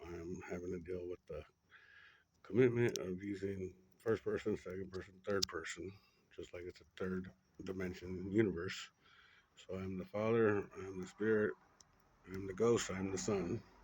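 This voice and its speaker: Whispering in a somewhat breathy way, a man leaves long, frequent pauses while his loudness swings widely. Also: moderate pace. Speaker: spiritual monologue vlogger. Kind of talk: personal spiritual monologue. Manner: rambling, halting with fillers.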